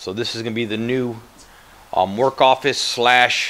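The man's intonation stays fairly even. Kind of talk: casual vlog chat. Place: home room. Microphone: phone near.

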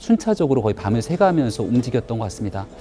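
A man speaks over light background noise. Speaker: political commentator. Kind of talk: TV panel discussion. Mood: somber, measured. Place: studio.

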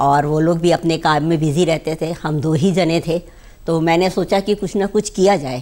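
A woman speaks in a dark, mellow tone at a fairly low pitch. Her intonation stays fairly even at a moderate pace. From Rajasthan, Bikaner; Rajasthan, India. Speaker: beauty expert; guest. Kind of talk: TV interview. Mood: calm, reflective. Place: studio. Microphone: lapel.

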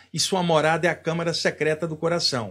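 This is a man speaking. The background is quiet. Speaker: spiritual teacher. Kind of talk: spiritual talk to camera. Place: home room. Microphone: studio mic.

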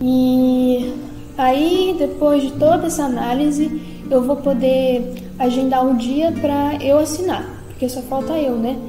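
Over clear music in the background, a woman speaks at a very slow pace with a high pitch and monotone, flat intonation, in audible room echo. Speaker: vlogger giving a personal update. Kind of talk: casual vlog chat. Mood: calm, informative. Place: home room. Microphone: phone near.

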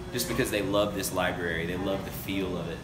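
The man's very fast speech comes through with noticeable background noise behind it. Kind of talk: interview answer. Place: bar. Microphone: phone near.

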